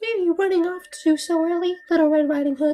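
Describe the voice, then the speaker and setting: A put-on character voice squeaks at an extremely high pitch. It rattles along at a very fast pace. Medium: game stream. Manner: sly, smooth.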